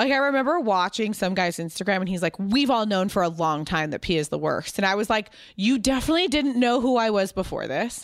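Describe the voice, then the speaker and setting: On a very clean recording with a silent background, a woman with an American accent speaks very fast at a medium pitch and very even loudness. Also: lively intonation. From US West Coast (Pasadena, California). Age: 30s. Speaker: fashion entrepreneur. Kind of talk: casual interview chat. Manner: fast, rambling with fillers.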